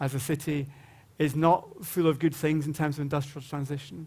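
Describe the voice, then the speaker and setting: A man with a Glaswegian accent and a fairly high pitch is heard on a very clean recording with a silent background. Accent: Glaswegian Scottish. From Scotland, Glasgow. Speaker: panel moderator. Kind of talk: conference panel introduction. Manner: informal, humorous storytelling.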